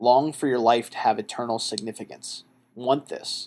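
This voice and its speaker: A man speaks in a plain, everyday voice at a medium pitch. His pitch varies in an ordinary way, and his pace is moderate. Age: 30s. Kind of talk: solo monologue podcast.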